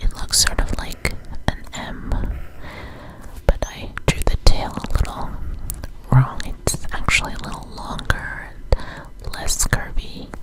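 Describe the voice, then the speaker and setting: The speaker whispers at a very slow pace. Background noise is noticeable. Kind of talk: ASMR whispered tutorial. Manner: whispered; soft-spoken, slow.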